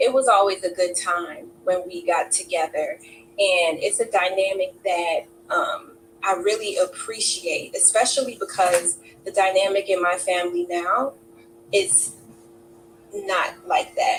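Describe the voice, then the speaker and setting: Fairly slow speech with an American accent, over noticeable background noise. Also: woman. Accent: New York accent with some Southern. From Brooklyn, New York. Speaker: interview guest. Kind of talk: interview testimony. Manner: hesitant, many fillers.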